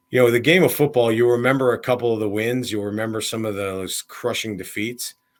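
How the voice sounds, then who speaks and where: A man speaks in a fairly low pitch with an American accent. The recording is very clean, with a silent background. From US Midwest, Illinois. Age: 40s. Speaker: college football coach. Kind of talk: podcast interview. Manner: casual, with many fillers.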